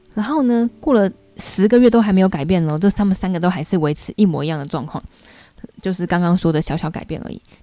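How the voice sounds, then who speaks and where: A woman speaks at a medium pitch with a dark, mellow tone and lively intonation. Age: 30s. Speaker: YouTuber and book club host. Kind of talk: book review livestream. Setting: home livestream. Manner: casual, chatty.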